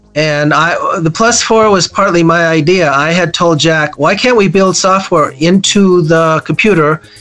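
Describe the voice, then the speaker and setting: A man with an American accent, high-pitched for a man, at a fairly slow pace with hardly any pauses, very even loudness, ordinary pitch variation, and noticeable background noise. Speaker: former computer company executive and author. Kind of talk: interview answering questions about computer history. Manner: conversational, laughs often.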